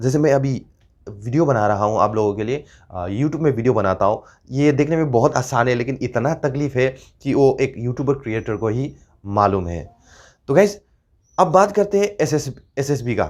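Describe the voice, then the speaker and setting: A man speaks with a Nepali accent. His intonation is lively. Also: medium pitch for a man, moderate pace, quiet background. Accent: Nepali-accented Hindi, weak pronunciation. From Northeast India, Nepali community. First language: Nepali (speaking Hindi). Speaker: YouTuber, former paramilitary member. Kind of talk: casual informational vlog. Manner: halting, many fillers.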